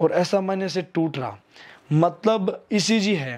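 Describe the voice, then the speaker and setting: A high-pitched man speaks with lively intonation. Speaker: YouTube army recruitment news presenter. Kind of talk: informational news commentary. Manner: hesitant fillers, repeats himself.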